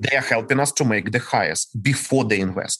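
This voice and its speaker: Speaking fairly quickly with a Ukrainian accent, a man uses very wide pitch swings. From Ukraine. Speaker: startup founder and CEO. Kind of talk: casual interview conversation.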